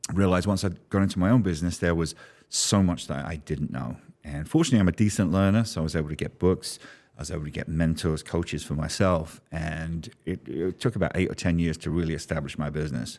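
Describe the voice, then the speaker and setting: A very deep, low male voice in a London accent at a very fast pace with ordinary pitch variation, on a very clean recording with a silent background. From London, England. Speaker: business strategist. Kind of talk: podcast interview.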